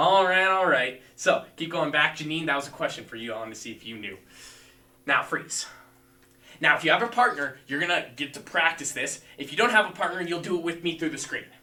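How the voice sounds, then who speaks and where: A man's high-pitched voice with lively intonation and big swings in loudness. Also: fairly quick pace. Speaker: martial arts instructor. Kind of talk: live-streamed fitness class instruction. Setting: livestream video class.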